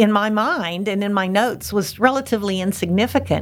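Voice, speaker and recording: A woman with an American accent and an ordinary speaking voice at a medium pitch, moderate pace, in a very clean recording over a silent background. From Pittsburgh, Pennsylvania area. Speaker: novelist. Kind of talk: interview.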